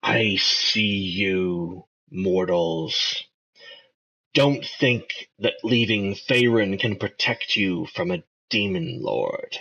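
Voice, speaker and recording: A man drawls out a put-on character voice at a very slow pace. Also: medium pitch for a man. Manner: menacing.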